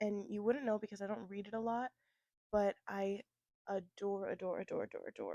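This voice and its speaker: A woman with an American accent, medium in pitch with a dark, mellow tone, monotone and flat, at a moderate pace with long, frequent pauses, in a dry, close sound with no echo. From Florida. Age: 20s. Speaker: book content creator. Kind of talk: casual chat. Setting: at home, indoors.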